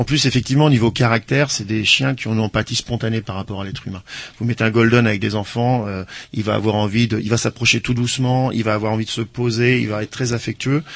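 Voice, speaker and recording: Very fast speech from a man at a medium pitch, his intonation fairly even. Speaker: animal-assisted therapy practitioner. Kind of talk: radio interview. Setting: radio studio.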